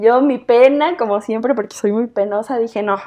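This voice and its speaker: A high-pitched woman's voice with a Mexican accent and ordinary pitch variation. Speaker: podcast co-host. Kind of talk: casual chat.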